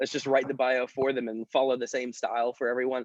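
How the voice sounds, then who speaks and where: A man's voice, pitched medium, can be heard talking. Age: 20s. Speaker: company founder. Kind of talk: interview. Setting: video call. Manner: fast.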